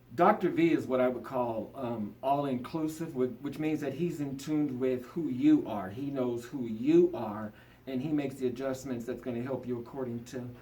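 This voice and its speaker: A man's medium-pitched voice at a moderate pace, ordinary pitch variation, audible room echo. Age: 50s. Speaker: patient. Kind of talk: testimony. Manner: halting.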